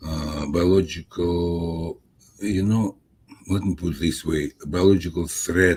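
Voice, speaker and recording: Very deep, low male voice at a very slow pace, fairly even in intonation, over music in the background. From Soviet Union. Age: 70s. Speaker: scientist, author. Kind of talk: interview. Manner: halting, many fillers.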